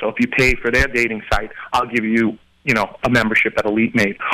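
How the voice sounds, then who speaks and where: With an American accent, a man speaks at a very fast pace over noticeable background noise. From Queens, New York. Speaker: website owner and entrepreneur. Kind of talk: casual interview chat.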